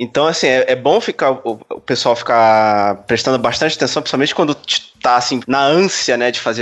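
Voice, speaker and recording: A man with a plain, everyday voice speaks at a moderate pace. His pitch sits in the middle range, with ordinary variation. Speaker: podcast co-host, environmental engineer. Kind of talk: casual chat.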